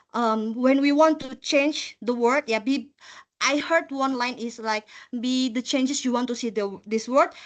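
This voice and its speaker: Against a quiet background, a woman with a high voice talks fairly slowly with ordinary pitch variation. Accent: strong non-native. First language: not English. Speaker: volunteer presenter, environmental project officer. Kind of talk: short personal presentation. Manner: halting, many fillers.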